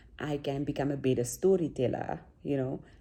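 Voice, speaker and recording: Soft-spoken and dark, mellow in tone, a woman talks at a very deep, low pitch with vocal fry and ordinary pitch variation. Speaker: vlogger. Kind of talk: casual vlog talk.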